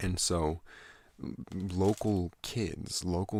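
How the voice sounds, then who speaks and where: A soothing, soft-spoken voice with fairly even intonation on a very clean recording with a silent background. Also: man. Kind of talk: ASMR rambling and storytelling.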